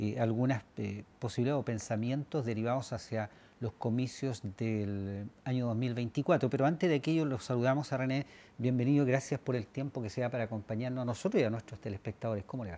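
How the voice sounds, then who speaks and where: A man at a fairly quick pace, medium pitch and ordinary pitch variation, with a dark, mellow tone. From Chile. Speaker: TV news host. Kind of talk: TV interview. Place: studio.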